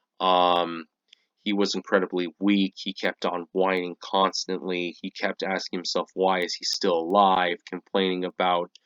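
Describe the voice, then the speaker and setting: A man talks at a fairly slow pace in a very deep, low pitch with monotone, flat intonation. The background is quiet. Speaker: anime youtuber. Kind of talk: casual commentary. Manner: hesitant, many fillers.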